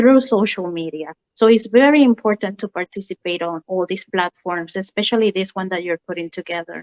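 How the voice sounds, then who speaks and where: Speaking at a fairly quick pace with hardly any pauses, a woman with a Spanish accent uses a medium pitch and ordinary pitch variation, her loudness swinging widely in a dry, close sound with no echo. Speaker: mortgage lender. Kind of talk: interview.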